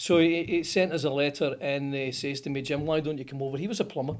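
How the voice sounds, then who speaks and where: A man speaks very fast in a strong Scottish accent. His pitch is fairly high, with ordinary variation. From Scotland, Motherwell (Lanarkshire). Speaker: plumbing company founder. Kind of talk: interview storytelling.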